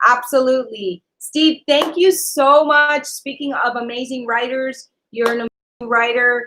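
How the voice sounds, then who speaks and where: Raising and projecting her high-pitched voice, a woman with a Spanish accent speaks at a fairly slow pace with hardly any pauses, a bright, sharp tone and ordinary pitch variation. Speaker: online talk show co-host, actress. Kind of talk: live-stream chat reading viewer comments. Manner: animated, many fillers.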